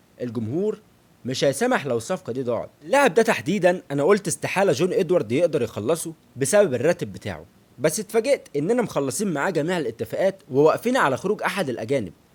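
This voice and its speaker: With an Egyptian accent, a man talks at a fairly quick pace in a fairly high pitch, his animated tone full of very wide pitch swings and vocal fry. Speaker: football analyst YouTuber. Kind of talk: football analysis monologue.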